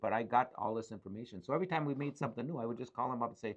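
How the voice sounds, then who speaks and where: A man with an Upper Midwest accent at a very fast pace, medium pitch and ordinary pitch variation. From Ironwood, Michigan. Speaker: business owner. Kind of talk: interview answer. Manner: casual, conversational.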